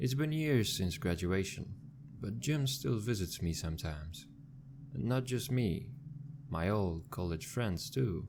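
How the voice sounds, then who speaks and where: His pitch swings very widely as a man speaks at a fairly slow pace in a somewhat breathy voice. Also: fairly low pitch for a man. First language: not English. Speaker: scary story narrator. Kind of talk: horror story narration.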